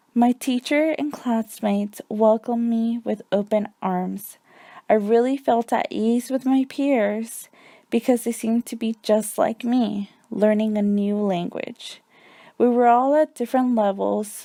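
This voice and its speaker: Speaking with a Spanish accent, a woman uses a fairly high pitch and a dark, mellow tone, her intonation fairly even and her pace fairly slow. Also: dry, close sound with no echo, very clean recording, silent background. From US, Mexican family (moved at age four). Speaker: student teacher. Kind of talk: reading a personal essay. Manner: scripted, even pace.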